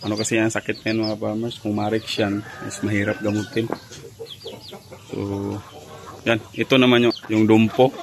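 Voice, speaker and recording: A man at a moderate pace and fairly low pitch, with monotone, flat intonation, long, frequent pauses and noticeable background noise. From Bohol, Visayas, Philippines. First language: Cebuano (Bisaya) (speaking Tagalog). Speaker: backyard chicken breeder vlogger. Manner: halting, many fillers.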